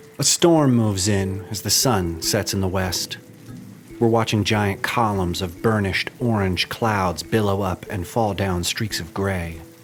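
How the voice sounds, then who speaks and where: Over music in the background, a man with a very deep, low voice speaks at a fairly slow pace with ordinary pitch variation. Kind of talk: podcast narration.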